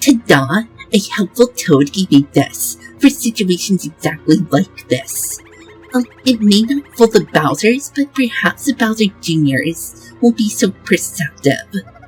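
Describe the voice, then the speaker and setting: Over clear music in the background, a woman uses a put-on character voice of medium pitch, swinging very widely in pitch at a fairly slow pace. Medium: game stream. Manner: sweet, lighthearted.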